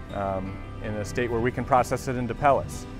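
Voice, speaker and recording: A man talks at a fairly quick pace with ordinary pitch variation. The sound is dry with no echo, and clear music plays in the background. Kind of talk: interview answer. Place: factory. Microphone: lapel.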